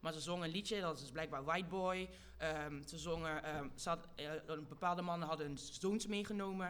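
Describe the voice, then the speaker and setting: With audible room echo, a woman speaks at a moderate pace in a fairly low pitch, keeping her intonation fairly even. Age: young. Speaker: activist. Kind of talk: live panel talk before audience. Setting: stage with audience.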